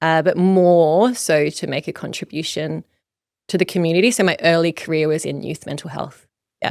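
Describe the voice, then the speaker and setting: A woman talks at a moderate pace in a fairly low pitch with ordinary pitch variation, in a dry, close sound with no echo on a very clean recording with a silent background. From Australia, Gold Coast, Queensland. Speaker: clinical psychologist. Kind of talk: podcast interview.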